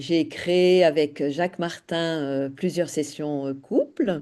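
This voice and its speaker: Over a quiet background, a woman with a very deep, low pitch keeps a fairly even intonation. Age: 60s. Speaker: former couples ministry volunteer. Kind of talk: interview testimony.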